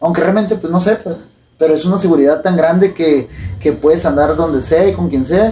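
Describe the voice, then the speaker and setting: A man speaks in a normal speaking voice at a fairly quick pace. His pitch is fairly high, with ordinary pitch variation. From Sinaloa, Mexico. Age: 20s. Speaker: professional boxer. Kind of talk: casual interview.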